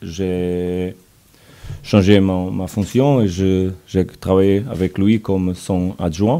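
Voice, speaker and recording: Speaking very slowly in a Portuguese accent, a man uses a very deep, low pitch and fairly even intonation. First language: Portuguese (speaking French). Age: 40s. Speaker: football coach. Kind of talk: press conference. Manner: halting.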